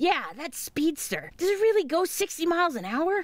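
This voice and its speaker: This is a cartoonish character voice that sounds female, pitched extremely high. The pace is moderate. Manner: sarcastic, brash.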